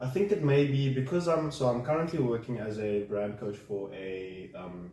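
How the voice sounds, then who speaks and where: Audible room echo and noticeable background noise both run through the recording. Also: man, hardly any pauses. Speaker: client in a coaching session. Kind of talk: coaching session conversation. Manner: hesitant, many fillers.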